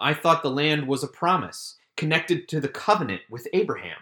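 Recorded very cleanly against a silent background, a bright, sharp voice with an American accent moves at a moderate pace with ordinary pitch variation. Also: man. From US South, Richmond, Virginia. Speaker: messianic rabbi. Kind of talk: scripted Torah commentary.

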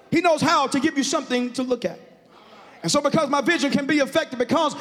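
A man's animated tone with ordinary pitch variation over music in the background. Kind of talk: sermon, preacher in full flow with call-and-response. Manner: animated, exhortative, loud, punctuating phrases with rhythmic 'huh' breaths; urging the congregation to shout and repeat lines aloud.

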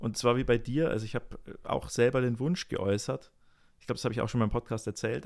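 A man's medium-pitched voice with ordinary variation, in a very clean recording with a silent background. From Rosenheim, Bavaria. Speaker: podcast co-host, jazz musician. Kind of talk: casual chat.

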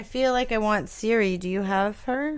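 Here is a woman with an unremarkable speaking voice. Her pitch is fairly high and her pace moderate. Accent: American. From Los Angeles. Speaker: podcast co-host. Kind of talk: casual chat.

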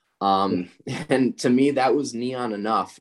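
A man's normal speaking voice, fairly low in pitch and fairly slow, against a quiet background. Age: 20s. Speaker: neon artist. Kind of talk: casual interview. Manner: many filler ums.

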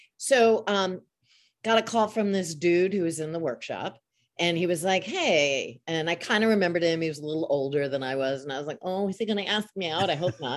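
A woman with an unremarkable speaking voice, fairly low in pitch, with lively intonation at a fairly quick pace. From Long Island, New York. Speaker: voice actor. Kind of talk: casual chat. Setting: video call.

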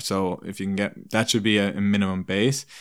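A man with an Irish accent, fairly low in pitch and fairly even in intonation, at a fairly quick pace in a very clean recording with a silent background. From Ireland, small town. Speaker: performance nutritionist and personal trainer. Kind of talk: casual interview chat. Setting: in person, over beers.

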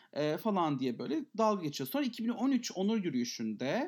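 A high-pitched man's voice with very wide pitch swings on a very clean recording with a silent background. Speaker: podcast co-host. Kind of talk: casual chat.

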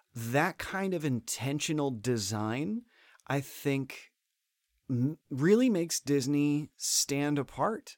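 Speaking very slowly with an American accent, a man uses a fairly high pitch and lively intonation. The sound is dry and close with no echo, a very clean recording with a silent background. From Florida. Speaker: theme park performer and comedian. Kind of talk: casual chat. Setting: studio, same room as host.

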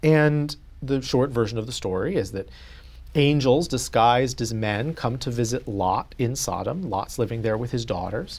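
Moderate in pace, a man uses a plain, everyday voice at a medium pitch with ordinary pitch variation. The recording is very clean with a silent background. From US South, North Carolina. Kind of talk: interview.

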